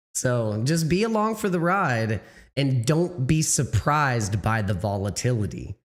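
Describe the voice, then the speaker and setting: On a very clean recording with a silent background, a man with a somewhat breathy voice at medium pitch speaks at a very slow pace, his pitch swinging very widely. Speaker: crypto livestream host. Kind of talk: casual livestream talk. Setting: livestream. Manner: halting.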